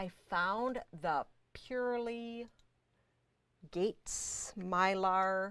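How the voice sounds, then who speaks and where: A woman speaks at a medium pitch in an animated tone. Her voice sounds bright and sharp. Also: very clean recording, silent background. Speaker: fabric shop owner hosting live sales show. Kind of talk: live product showcase.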